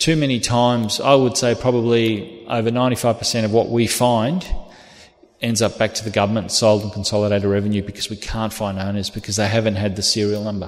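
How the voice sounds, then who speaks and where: A man with an Australian accent, fairly low in pitch, fairly quick in pace, with fairly even intonation. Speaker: police officer. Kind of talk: lecture.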